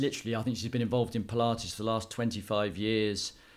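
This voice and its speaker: A man with a southern English accent speaks in a fairly low pitch. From southern England, Dorset (Poole area). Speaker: personal trainer and fitness business owner, former rugby player and city trader. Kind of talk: interview. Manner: halting, many fillers and restarts.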